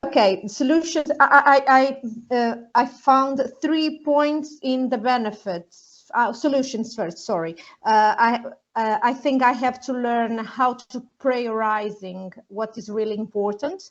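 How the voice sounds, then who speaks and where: Speaking at a fairly slow pace, the woman has a high pitch. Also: ordinary pitch variation. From Portugal, Leiria. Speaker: nursing teacher. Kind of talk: workshop participation. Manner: halting.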